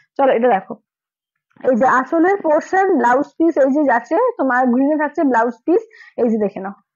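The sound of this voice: At a fast pace, a woman speaks with lively intonation and a high pitch. Her tone is slightly mellow.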